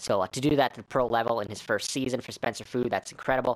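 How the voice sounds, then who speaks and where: Here a man is talking. The variation in his pitch is ordinary. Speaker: gaming YouTuber. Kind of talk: gameplay commentary. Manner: fast; stumbling, many fillers.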